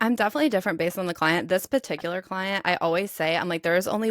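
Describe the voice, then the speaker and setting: On a very clean recording with a silent background and a dry, close sound with no echo, a woman speaks at a fairly low pitch with ordinary pitch variation. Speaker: personal trainer, podcast co-host. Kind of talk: casual chat.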